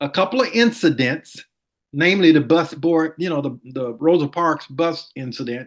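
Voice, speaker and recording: Intonation is lively in this voice with a Southern US accent. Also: man, fairly high pitch for a man, moderate pace. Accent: US South. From Montgomery, Alabama. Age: 70s. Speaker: former city attorney. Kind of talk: interview.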